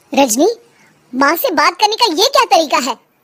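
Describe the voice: A squeaky, cartoonish character voice from a woman, extremely high in pitch, with very wide pitch swings at a moderate pace.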